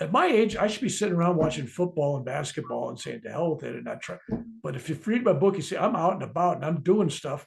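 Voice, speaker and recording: A very fast-talking man with an American accent, fairly high pitch, lively intonation, vocal fry and big swings in loudness. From US. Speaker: author and spiritual speaker. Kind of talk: interview about his book.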